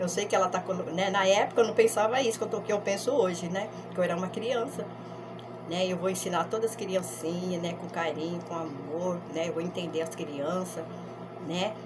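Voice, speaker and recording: A woman with a medium pitch talks at a moderate pace, with noticeable background noise in the recording. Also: ordinary pitch variation. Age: old. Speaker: grandmother storyteller. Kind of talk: life story told to camera. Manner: casual, conversational.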